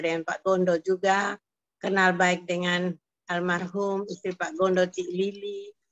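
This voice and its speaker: A woman speaks at a moderate pace. Her medium-pitched voice is flat and monotone. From Kupang, East Nusa Tenggara, Indonesia. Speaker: prayer fellowship member. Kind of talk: testimony. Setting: video call.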